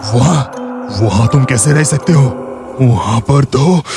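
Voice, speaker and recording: Over clear background music, a man performs a put-on character voice at medium pitch and a moderate pace, his loudness very even. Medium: read story.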